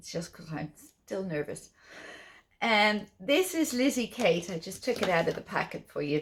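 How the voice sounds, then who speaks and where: Here a woman speaks in an Irish accent. She keeps a moderate pace. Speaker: cross-stitch designer and vlogger. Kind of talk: casual chat.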